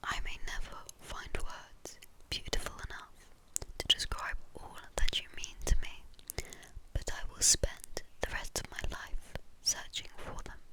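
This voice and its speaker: A whisper in a gentle, calm tone at a fairly slow pace. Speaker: ASMR creator who reads poems. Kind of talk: whispered ASMR poetry reading. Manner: soft, gentle, calm.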